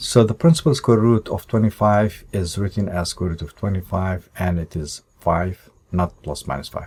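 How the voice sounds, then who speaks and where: A very deep, low male voice, dark and mellow in tone, somewhat breathy, with lively intonation. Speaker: math teacher. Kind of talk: tutorial.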